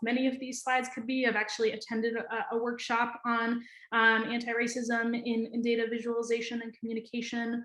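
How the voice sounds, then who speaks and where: In an American accent, a woman talks fairly quickly at a high pitch, with audible room echo. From New Hampshire, US Northeast. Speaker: data scientist, conference presenter. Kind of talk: conference presentation. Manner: fast; hesitant with frequent fillers and repetitions.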